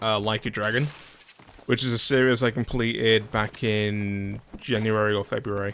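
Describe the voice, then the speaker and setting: A man's fairly slow speech over noticeable background noise. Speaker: gaming video creator. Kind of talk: casual let's play commentary. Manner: casual, conversational.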